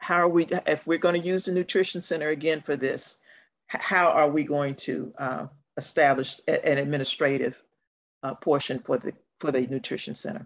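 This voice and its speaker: A woman with a very deep, low voice talks at a moderate pace with ordinary pitch variation. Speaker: council member in a remote meeting. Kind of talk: meeting discussion. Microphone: video call.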